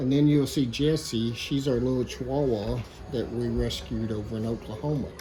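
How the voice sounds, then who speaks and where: A man with a strong Southern US accent speaks at a moderate pace and medium pitch, his intonation fairly even. Noticeable background noise and audible room echo fill the recording. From Arkansas, US South. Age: 50s. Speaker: woodworker. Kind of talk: workshop tutorial talk. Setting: workshop.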